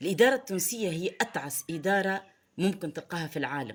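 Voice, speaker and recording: With a Tunisian accent, a woman speaks in a fairly low voice with lively intonation. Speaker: political commentator. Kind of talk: online commentary monologue. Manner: animated; halting.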